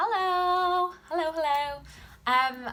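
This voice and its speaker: A woman's raised, projected voice, bright and sharp in tone, at a very slow pace. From Wales (South Wales). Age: 20s. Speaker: YouTuber and podcaster on women's health. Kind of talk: casual vlog introduction. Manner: hesitant, many filler ums.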